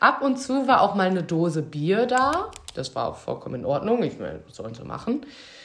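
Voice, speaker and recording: Over noticeable background noise, a woman talks fairly quickly at a medium pitch, with very wide pitch swings and big swings in loudness. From Münsterland, Germany. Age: 20s. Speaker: former care worker. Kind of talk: casual chat.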